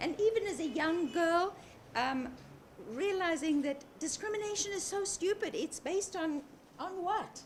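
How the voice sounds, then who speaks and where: Over noticeable background noise, a woman with an extremely high pitch speaks at a moderate pace with lively intonation. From South Africa. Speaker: human rights campaigner. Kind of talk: interview.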